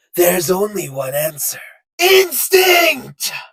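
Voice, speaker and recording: A man in a cartoonish character voice. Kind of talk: anime dub character impression.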